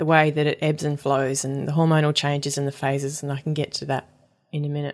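Very fast and in an Australian accent, the voice runs on with monotone, flat intonation. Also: woman, very deep, low pitch for a woman. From Australia, Perth. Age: 30s. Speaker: folk singer and period educator. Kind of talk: casual interview. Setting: at home in a loft.

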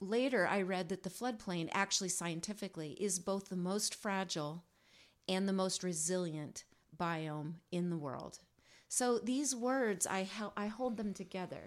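In a plain, everyday voice, a woman with an American accent talks at a fairly slow pace, her medium pitch rising and falling in an ordinary way, on a very clean recording with a silent background. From USA. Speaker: singer-songwriter. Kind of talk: casual chat.

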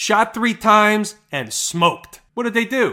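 A man with a high pitch uses a raised, projected voice and an animated tone at a fairly slow pace. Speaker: stock market analyst podcast host. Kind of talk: solo market analysis commentary. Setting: recorded screen-share video with chart.

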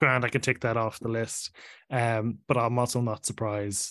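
A man's medium-pitched voice in an Irish accent at a fairly quick pace. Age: 30s. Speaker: podcaster. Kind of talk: casual chat.

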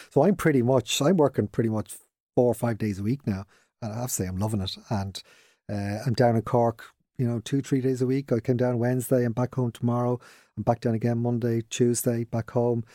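Speaking at a fairly quick pace with a Dublin accent, a man has a medium pitch and a dark, mellow tone, recorded very cleanly against a silent background with a dry, close sound and no echo. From Dublin, Ireland. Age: 50s. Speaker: business owner. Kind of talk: casual interview.

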